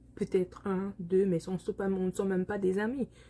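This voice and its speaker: Dark and mellow in tone, the voice is somewhat breathy, with a Congolese accent. It moves at a fairly slow pace. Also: woman. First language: Lingala (speaking French). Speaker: vlogger. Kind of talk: personal vlog monologue. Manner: halting, many hesitations.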